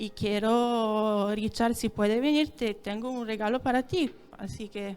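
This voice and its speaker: A woman speaks with an Italian accent at a fairly slow pace. Her pitch is fairly high, with ordinary pitch variation. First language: Italian (speaking Spanish). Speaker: dairy consortium representative. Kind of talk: conference talk. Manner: halting.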